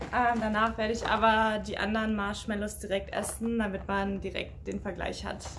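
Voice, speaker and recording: Noticeable background noise runs under the recording. A woman speaks over it at a moderate pace. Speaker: snack taste-test vlogger. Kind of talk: casual vlog chat. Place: home room. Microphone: phone near.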